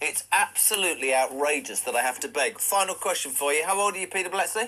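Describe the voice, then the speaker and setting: Projecting a raised voice at a very fast pace, a man with a high pitch and lively intonation speaks over noticeable background noise. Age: 60s. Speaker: radio host. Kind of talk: radio interview.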